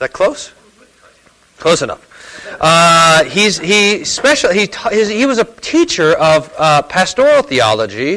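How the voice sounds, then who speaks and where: A man with a high pitch uses a raised, projected voice and very wide pitch swings at a fairly slow pace. Noticeable background noise sits behind him. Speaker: church host introducing speaker. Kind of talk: introduction and announcements. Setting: church gathering.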